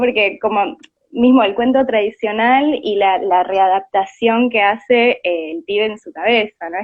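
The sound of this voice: The pace is moderate and the pitch varies in an ordinary way. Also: woman, medium pitch for a woman.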